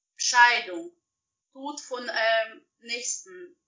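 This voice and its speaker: A woman talks in a high pitch with very wide pitch swings. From Russia. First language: Russian (speaking German). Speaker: professional organizer. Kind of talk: interview. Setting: video call.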